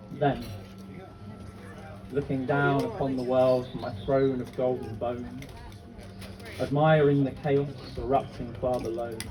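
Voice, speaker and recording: Speaking at a medium pitch, a man leaves long, frequent pauses over noticeable background noise. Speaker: spoken word poet. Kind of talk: live spoken word poetry performance. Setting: live festival stage.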